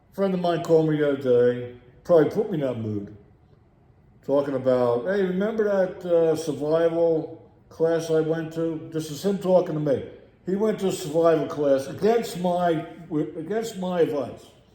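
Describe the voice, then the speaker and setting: With a dark, mellow tone and a high pitch, a man talks at a moderate pace with ordinary pitch variation amid audible room echo. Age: 60s. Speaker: video blogger. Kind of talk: rant. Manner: animated.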